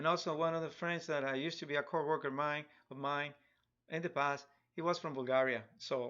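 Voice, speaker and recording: A man speaks at a fairly high pitch and a moderate pace, with fairly even intonation. The background is quiet. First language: Spanish. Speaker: digital artist. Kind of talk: live drawing tutorial stream. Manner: halting, many repetitions; casual, chatty. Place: home room.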